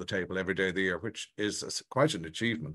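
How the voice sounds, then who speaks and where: Bright, sharp male voice over a quiet background. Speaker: society event host. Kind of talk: announcements to online audience. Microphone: webcam.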